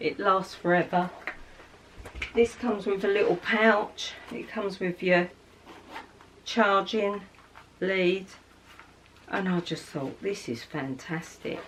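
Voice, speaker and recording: A woman with an English accent, very slow with long, frequent pauses and ordinary pitch variation. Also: medium pitch for a woman. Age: 60s. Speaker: beauty vlogger. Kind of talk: casual chat. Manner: chatty.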